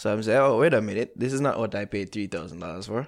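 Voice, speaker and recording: A man's medium-pitched voice with a Jamaican accent, in a very clean recording with a silent background. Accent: Jamaican, patois-inflected. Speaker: podcast host. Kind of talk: casual chat.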